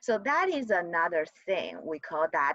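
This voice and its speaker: With very wide pitch swings, a woman talks in a dry, close sound that has no echo. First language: not English. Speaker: college GIS instructor. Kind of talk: lecture. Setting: video call. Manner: halting, repeats words.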